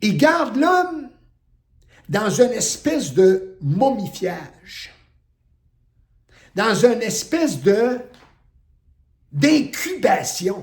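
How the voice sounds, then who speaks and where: Loud and very slow, a man with a Quebec accent talks at a high pitch with very wide pitch swings and long, frequent pauses. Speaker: spiritual teacher. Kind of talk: spiritual talk. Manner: forceful.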